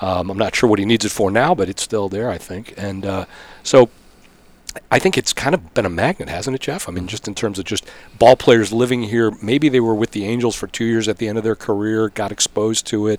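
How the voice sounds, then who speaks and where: A man speaks at a fairly quick pace in a plain, everyday voice. His pitch is fairly low, and the sound is dry and close with no echo. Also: ordinary pitch variation. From Arizona (Phoenix area), born in Pittsburgh. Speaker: sports public relations executive. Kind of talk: casual interview. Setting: hotel room, in person.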